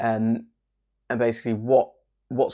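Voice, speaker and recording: Quiet and monotone, a man speaks with flat intonation and a dark, mellow tone on a very clean recording with a silent background. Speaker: crypto YouTuber. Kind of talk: casual video update. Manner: hushed, quiet.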